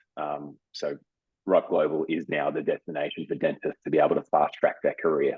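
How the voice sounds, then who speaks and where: A man talks at a fairly quick pace. He has an Australian accent. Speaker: business development director at a dental education company. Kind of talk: interview.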